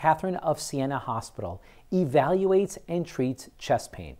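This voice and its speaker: A man's lively intonation at a moderate pace against a quiet background. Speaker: program host. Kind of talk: presenter script to camera. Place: studio. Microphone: lapel.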